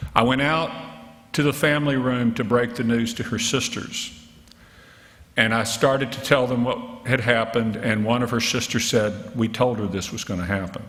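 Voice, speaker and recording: Speaking with a Southern US accent, a man of medium pitch keeps a fairly even intonation amid audible room echo. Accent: southern drawl. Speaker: physician and health policy researcher. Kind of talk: keynote lecture. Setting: conference stage with audience.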